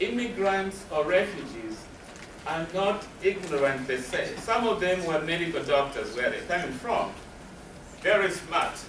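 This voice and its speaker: A man with a high pitch speaks at a fairly slow pace with lively intonation. Noticeable background noise and audible room echo fill the recording. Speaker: refugee trauma counselor. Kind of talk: lecture.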